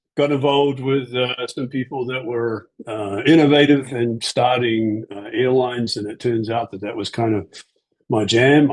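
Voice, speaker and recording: Fairly even intonation in a man's medium-pitched speech, delivered at a fairly slow pace. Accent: New Zealand. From New Zealand. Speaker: aviation executive and pilot. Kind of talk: interview. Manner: hesitant with many fillers.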